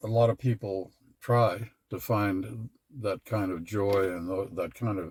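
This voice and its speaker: The somewhat breathy voice moves at a very slow pace in a dry, close sound with no echo. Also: man, fairly low pitch for a man. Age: 80s+. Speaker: retired father of a large family. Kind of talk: interview answer.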